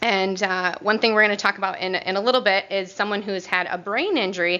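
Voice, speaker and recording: Loud and bright with a sharp tone, a woman speaks at a medium pitch and a moderate pace. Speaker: occupational therapist presenter. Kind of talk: presentation / training talk. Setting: room with audience and microphone. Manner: hesitant with fillers.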